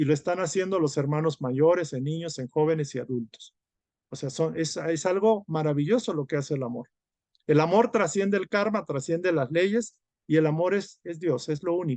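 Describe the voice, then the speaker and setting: A man's fairly high voice in a normal speaking voice, with ordinary pitch variation and a moderate pace, in a dry, close sound with no echo over a quiet background. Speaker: spiritual study group teacher. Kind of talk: lecture.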